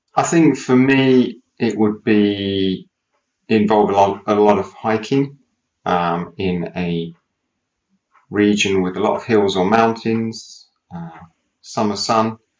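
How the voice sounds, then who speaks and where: A man's very slow speech, with ordinary pitch variation and long, frequent pauses. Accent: British. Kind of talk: casual conversation for English learners.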